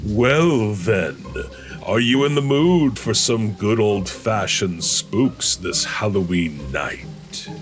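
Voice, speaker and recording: A man's booming, put-on character voice, fairly low in pitch and very slow, with clear music in the background. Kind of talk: comic overacting. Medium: read story. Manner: theatrical.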